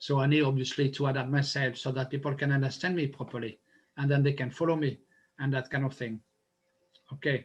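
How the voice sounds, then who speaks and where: A man speaks very fast in a fairly high pitch with a strong non-native accent, his flat, monotone delivery somewhat breathy and broken by long, frequent pauses. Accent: strong foreign. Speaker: public speaker. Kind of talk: interview. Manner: halting.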